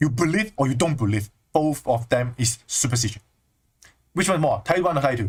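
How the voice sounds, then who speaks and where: A man with a Chinese accent in an animated tone, with very wide pitch swings, at a moderate pace. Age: 20s. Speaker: spiritual teacher. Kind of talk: livestream talk.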